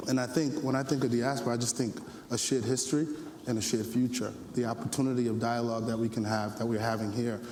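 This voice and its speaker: A man speaks at a very fast pace in a monotone, flat intonation at medium pitch. Audible room echo and noticeable background noise surround him. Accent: New York. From US Northeast, the Bronx, New York. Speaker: panelist at youth forum. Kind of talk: panel discussion.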